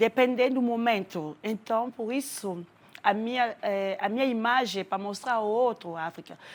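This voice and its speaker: With a French accent, a woman speaks at a moderate pace in a fairly high pitch with ordinary pitch variation. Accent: French accent in Portuguese, still noticeable. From Democratic Republic of the Congo. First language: French (speaking Portuguese). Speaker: actress and refugee. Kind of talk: TV interview.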